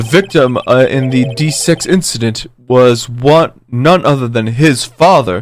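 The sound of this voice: Ordinary pitch variation runs through the delivery. It is an unforced reading voice.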